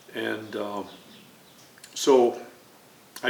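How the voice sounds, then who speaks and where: Over noticeable background noise and audible room echo, a man is talking. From Chicago, US Midwest. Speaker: navy veteran and former art student. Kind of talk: oral history interview. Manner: hesitant, many fillers.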